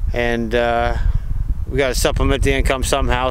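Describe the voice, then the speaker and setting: A man's fairly quick speech comes through dry, echo-free sound over noticeable background noise. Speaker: outdoor vlogger. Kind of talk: casual vlog chat. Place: forest. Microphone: phone near.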